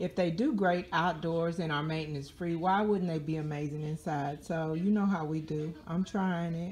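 A somewhat breathy woman talks at a fairly low pitch with fairly even intonation and hardly any pauses over light background noise. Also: moderate pace. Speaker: home gardener vlogger. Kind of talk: casual vlog chat. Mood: playful, chatty. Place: home room. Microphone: phone near.

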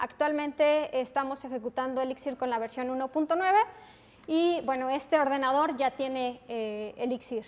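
Here a woman talks with a Mexican accent. Her pitch is high and her pace moderate. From Mexico. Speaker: software developer, conference speaker; conference speaker. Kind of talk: technical conference talk. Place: classroom.

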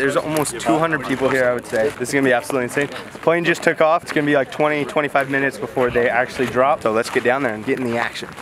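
A man at a very fast pace with fairly even intonation, in a dry sound with no echo and noticeable background noise. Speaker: vlogger. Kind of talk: casual vlog chat. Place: open country. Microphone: phone near.

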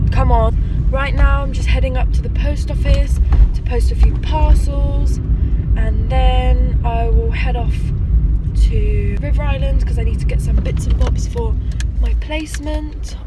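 Loud background noise surrounds a woman talking at a fairly slow pace. Her sound is dry with no echo. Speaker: vlogger. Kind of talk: casual vlog chat. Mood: chatty, amused. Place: car. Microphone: phone near.

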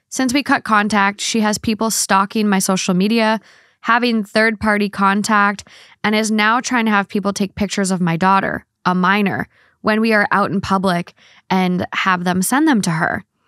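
A woman speaks at a moderate pace with very even loudness and fairly even intonation. The sound is dry with no echo, over a quiet background. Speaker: podcast co-host. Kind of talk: casual advice chat. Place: home room. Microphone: studio mic.

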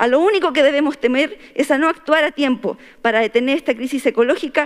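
A woman with a Chilean accent speaks at a high pitch and a fairly quick pace. Her pitch variation is ordinary, and the background is quiet. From Chile, Atacama region (Huasco Valley); Atacama, Chile. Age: 30s. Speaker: constitutional convention delegate. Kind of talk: formal speech. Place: hall. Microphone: podium.

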